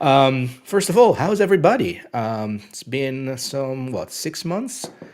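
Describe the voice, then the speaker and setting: A man talks at a fairly slow pace in a fairly high pitch, with very wide pitch swings and big swings in loudness. Noticeable background noise runs underneath. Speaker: occult channel host. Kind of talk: casual livestream chat. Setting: livestream. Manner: halting, many fillers.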